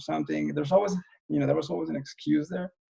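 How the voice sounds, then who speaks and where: A man talks with a non-native accent. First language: not English. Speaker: independent filmmaker. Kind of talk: interview conversation. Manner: halting, many fillers.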